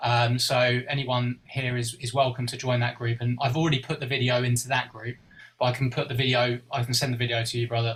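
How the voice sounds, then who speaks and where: Delivered at a very fast pace, the speech holds a monotone, flat intonation. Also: man. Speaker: group organizer, video creator. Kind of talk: online group meeting. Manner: hesitant, many fillers.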